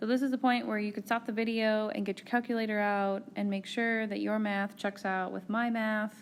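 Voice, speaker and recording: The background is silent and the recording very clean. A woman's intonation stays monotone and flat. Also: hardly any pauses. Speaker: university biochemistry lecturer. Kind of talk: recorded lecture. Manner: slow, deliberate; casual with fillers and self-corrections.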